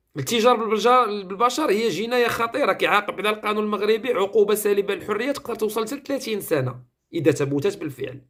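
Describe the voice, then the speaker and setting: With hardly any pauses, the words flow at a fairly quick pace. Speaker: online commentator. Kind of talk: news commentary.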